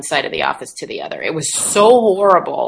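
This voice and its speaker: Over noticeable background noise, a woman with an American accent speaks at a moderate pace with ordinary pitch variation. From United States. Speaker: meeting facilitator and consultant. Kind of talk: interview.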